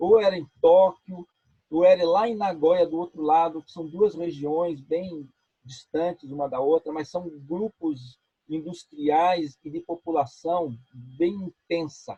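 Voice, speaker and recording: Talking at a very slow pace, a man uses a high pitch and fairly even intonation with big swings in loudness. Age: 60s. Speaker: spiritist speaker. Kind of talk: interview.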